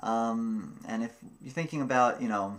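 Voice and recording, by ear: Pitch moves in an ordinary way. The speaker keeps a moderate pace. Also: man, medium pitch for a man.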